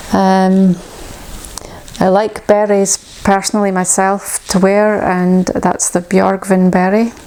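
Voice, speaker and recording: A woman with a Shetland accent, very slow and monotone with flat intonation, her loudness very even, over noticeable background noise. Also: medium pitch for a woman. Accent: Shetland Scottish. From Shetland, Scotland. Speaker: knitwear designer. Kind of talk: casual talk to camera.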